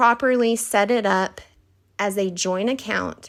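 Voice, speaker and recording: A woman with a Texas accent speaks at a very slow pace and fairly high pitch with lively intonation. The recording is very clean, the background silent. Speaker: financial advisor. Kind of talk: scripted presentation.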